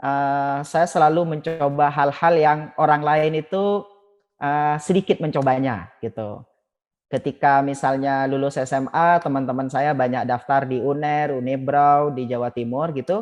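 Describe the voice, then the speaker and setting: A man's fairly high voice in a Madurese accent, fairly slow, with fairly even intonation. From Madura, Pamekasan (East Java, Indonesia). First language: Madurese (speaking Indonesian). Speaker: alumni association chairman. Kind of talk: podcast interview.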